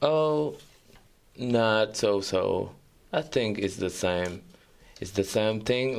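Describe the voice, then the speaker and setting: This is a man speaking. His pitch is fairly low. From Senegal. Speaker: photographer and journalism student. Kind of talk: radio interview. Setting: radio studio. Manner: halting.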